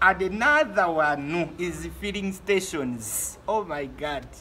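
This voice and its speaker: Over music in the background, a man with a Ugandan accent speaks at a high pitch with lively intonation. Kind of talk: casual talk to camera.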